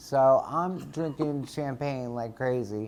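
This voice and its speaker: A dark, mellow tone with an American accent and ordinary pitch variation. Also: man. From New Jersey. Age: 40s. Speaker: fragrance designer. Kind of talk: casual chat. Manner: halting.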